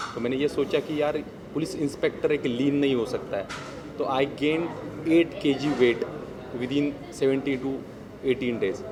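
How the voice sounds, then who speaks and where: With a Marathi accent, a man at a fairly high pitch speaks with fairly even intonation and long, frequent pauses, amid noticeable background noise and audible room echo. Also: moderate pace. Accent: Marathi accent in Hindi. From Maharashtra, Bhor near Pune. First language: Marathi (speaking Hindi). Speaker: actor. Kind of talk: press event interview.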